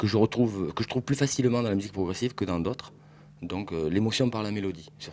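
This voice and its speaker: Fairly low in pitch, a man talks with ordinary pitch variation. His pace is very fast. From southwest France, Bordeaux. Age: 40s. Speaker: record dealer. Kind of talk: interview. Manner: hesitant, many fillers.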